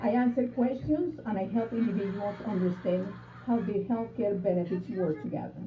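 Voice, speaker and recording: A woman with a Spanish accent speaks at a moderate pace, medium in pitch with ordinary variation. The room echo is audible and the background noise noticeable. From Colombia. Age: 60s. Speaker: insurance broker. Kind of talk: interview. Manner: formal.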